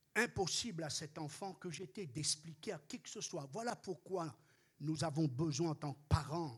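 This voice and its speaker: Pitched fairly high, a man speaks at a fairly slow pace. His pitch varies in an ordinary way. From Réunion. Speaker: pastor. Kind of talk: sermon.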